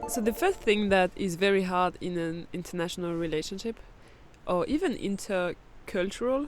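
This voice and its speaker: A woman with a French accent at a medium pitch and moderate pace, with ordinary pitch variation. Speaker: podcast host. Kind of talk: casual chat. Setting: outdoors in a forest campground.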